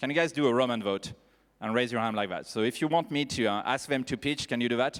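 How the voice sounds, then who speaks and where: This is a very clean recording with a silent background, where a man talks at a very fast pace in a French accent. His pitch is medium, with ordinary variation. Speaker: panel moderator. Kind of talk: panel discussion moderation. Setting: stage with audience. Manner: animated.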